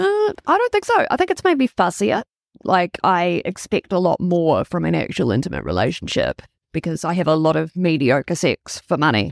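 Keeping her loudness very even, a woman with a slight New Zealand accent talks at a moderate pace in a dry, close sound with no echo. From Toronto, Canada, then Wellington, New Zealand. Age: 30s. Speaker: sex worker and advocate. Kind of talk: casual interview chat. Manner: frank, outspoken, passionate.

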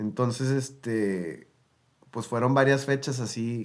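Delivered at a very slow pace, the speech shows ordinary pitch variation. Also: man. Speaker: singer-songwriter and producer. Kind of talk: casual interview chat.

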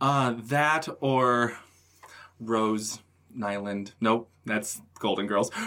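Speaking very slowly with an American accent, a man keeps a medium pitch and fairly even intonation. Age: 30s. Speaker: actor and theater director. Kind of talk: casual chat.

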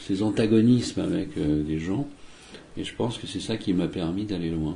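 A man speaks with fairly low pitch and lively intonation. The room echo is audible. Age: 60s. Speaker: magician. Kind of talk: interview. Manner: hesitant, many fillers.

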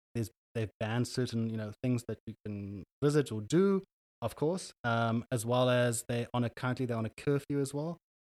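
Recorded very cleanly with a silent background and a dry, close sound with no echo, a man with a South African accent speaks at a moderate pace and a medium pitch with ordinary variation. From Cape Town, South Africa. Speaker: guest, consultant and entrepreneur. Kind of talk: casual interview chat. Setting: studio. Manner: relaxed, hesitant with fillers.

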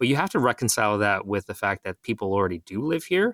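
A man with a Canadian accent speaks in an ordinary speaking voice at a fairly low pitch and a fairly quick pace. The sound is dry and close with no echo, in a very clean recording with a silent background. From Ontario, Mississauga. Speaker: city councillor. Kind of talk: interview.

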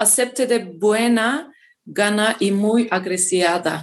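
A woman with a Turkish accent speaks at a very slow pace in a fairly high pitch with ordinary pitch variation. The background is quiet. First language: Turkish (speaking Spanish). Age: 20s. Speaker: mining engineer. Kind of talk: interview, partly reading a script. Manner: halting, many hesitations.

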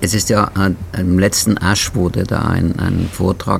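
This man's very deep, low voice moves at a fairly slow pace over noticeable background noise. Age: 70s. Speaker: podcast host and patient advocate. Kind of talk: casual interview chat. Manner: halting.

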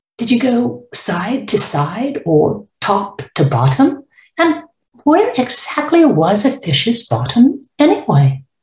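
A woman speaks at a fairly high pitch with very wide pitch swings. Her voice shows vocal fry. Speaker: author. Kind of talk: author reading her picture book aloud, storytelling narration. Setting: recorded promotional audio intro. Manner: gentle, warm, expressive read-aloud pacing; clear, measured, child-friendly.

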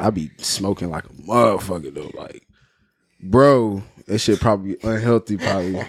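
A man's fairly low voice at a moderate pace, with ordinary pitch variation, big swings in loudness, and a very clean recording over a silent background. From England, Cornwall and US. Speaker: musician. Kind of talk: casual chat.

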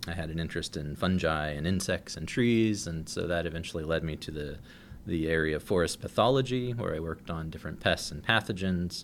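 A man speaks with an American accent at a very deep, low pitch. His pitch varies in an ordinary way. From rural Ohio. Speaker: forestry geneticist professor. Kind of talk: interview.

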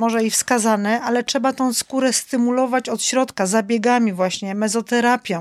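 A woman talks at a moderate pace in a dry, close recording with no echo. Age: 50s. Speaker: winter swimmer and image consultant. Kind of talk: casual chat. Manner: animated.

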